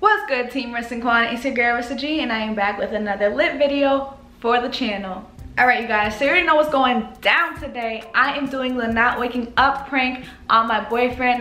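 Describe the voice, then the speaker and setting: Audible room echo surrounds a voice moving at a fairly quick pace with ordinary pitch variation. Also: woman, high pitch for a woman. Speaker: vlogger. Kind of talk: casual vlog chat. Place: home room.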